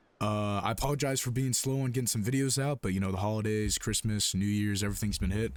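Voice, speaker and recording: Very fast speech from a man, fairly low in pitch, with fairly even intonation. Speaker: gaming YouTuber. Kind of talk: gameplay commentary. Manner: casual, with filler words.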